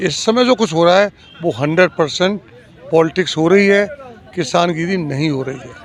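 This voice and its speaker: A man's high voice, moderately paced, against noticeable background noise. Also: ordinary pitch variation, big swings in loudness. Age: 60s. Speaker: member of public, former newspaper writer. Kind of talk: street interview.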